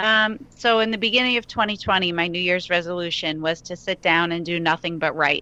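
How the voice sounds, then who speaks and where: In an American accent, a woman speaks at a fairly quick pace with hardly any pauses, her fairly low voice bright and sharp in tone, on a very clean recording with a silent background. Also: ordinary pitch variation. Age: 30s. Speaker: country singer-songwriter. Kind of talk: interview.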